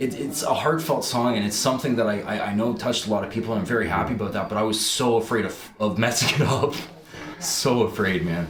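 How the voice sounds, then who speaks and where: A man with a slight Canadian accent talks at a very fast pace with ordinary pitch variation, amid noticeable background noise and audible room echo. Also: medium pitch for a man. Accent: slight mainland Canadian. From Newfoundland, St. John's (moved from Ontario at five). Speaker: musician. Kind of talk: interview.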